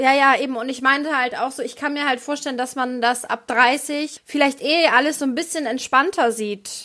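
A woman's raised, projected voice, high-pitched and fairly even in intonation, at a moderate pace with hardly any pauses. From rural Germany. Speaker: stand-up comedian and podcast co-host. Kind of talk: casual chat. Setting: video call.

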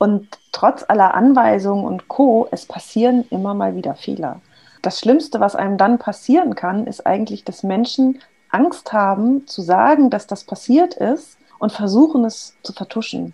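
At a fairly slow pace, a woman speaks with lively intonation in a somewhat breathy voice with a dark, mellow tone. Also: fairly high pitch for a woman. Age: 40s. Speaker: agile coach. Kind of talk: casual interview chat.

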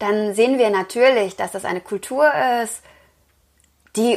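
Here a woman speaks at a fairly slow pace. Her pitch variation is ordinary. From Lower Rhine, Germany (Wesel). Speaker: yoga teacher and author. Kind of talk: interview.

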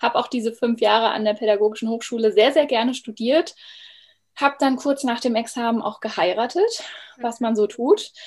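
A woman talks with a normal speaking voice at a fairly high pitch. Her pace is moderate and her pitch varies in an ordinary way. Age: 30s. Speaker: former primary school teacher, coach. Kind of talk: interview. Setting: video call.

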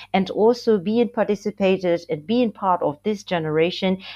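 A woman is speaking. She has a Burmese accent. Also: quiet background. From Myanmar. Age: 20s. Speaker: student activist. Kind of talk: podcast interview.

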